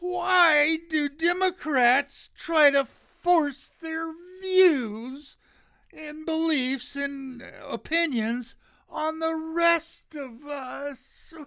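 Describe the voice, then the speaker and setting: A whiny, high put-on character voice drags along at a very slow pace. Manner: whiny, complaining.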